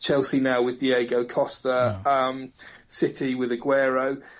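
In a plain, everyday voice, a man talks at medium pitch and a moderate pace. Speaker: football commentator. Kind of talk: casual chat.

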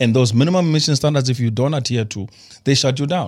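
Very fast, somewhat breathy male speech at a medium pitch, on a very clean recording with a silent background. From South Africa, Limpopo. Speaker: energy expert, former investment banker. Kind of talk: studio talk show interview. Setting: studio.

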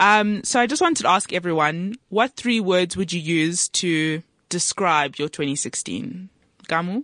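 In a normal speaking voice, a woman with a fairly low pitch talks at a fairly slow pace with lively intonation, the sound dry and close with no echo over a quiet background. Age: 20s. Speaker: student radio show host. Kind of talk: casual chat. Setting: studio.

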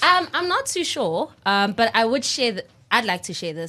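A woman talks at a moderate pace in an animated tone. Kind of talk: casual chat.

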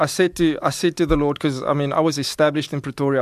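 A man talks at a very fast pace. His pitch is fairly high and his intonation fairly even. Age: 30s. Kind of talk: radio interview, personal testimony.

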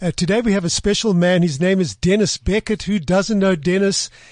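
Against a quiet background, a man speaks at a high pitch, the sound dry and close with no echo. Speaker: radio host. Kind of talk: casual interview. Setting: studio.

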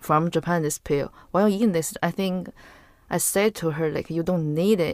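A woman speaks with a Chinese accent at a moderate pace and a fairly low pitch. Her pitch variation is ordinary, and the sound is dry and close with no echo. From northern China. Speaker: podcast guest. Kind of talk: casual chat. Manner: halting.

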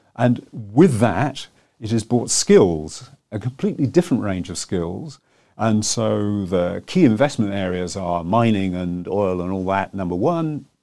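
A fairly slow, fairly low-pitched man's voice with a British accent and lively intonation. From England. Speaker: telecoms analyst and author. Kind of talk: interview. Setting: studio.

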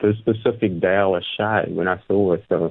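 A man speaks in a South African accent. His pace is moderate. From South Africa, Gqeberha (Port Elizabeth). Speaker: musician and rapper. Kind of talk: radio interview. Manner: measured, considered.

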